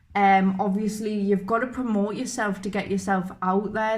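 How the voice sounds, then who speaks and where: Speaking at medium pitch with a Geordie accent, a woman keeps a monotone, flat intonation on a very clean recording with a silent background. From northern England, Newcastle. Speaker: YouTuber, reaction channel. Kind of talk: casual chat. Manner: halting.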